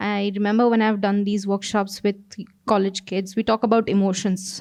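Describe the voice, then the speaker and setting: A woman speaks in an Odisha accent with a fairly high pitch. The recording is very clean, with a silent background. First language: Odia. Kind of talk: panel conversation. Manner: hesitant, many fillers.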